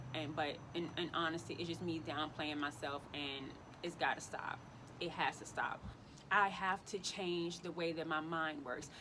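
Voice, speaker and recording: A woman speaks at a moderate pace in an animated tone. Her pitch is very deep and low. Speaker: lifestyle vlogger. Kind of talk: casual vlog monologue. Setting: outdoors. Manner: loud.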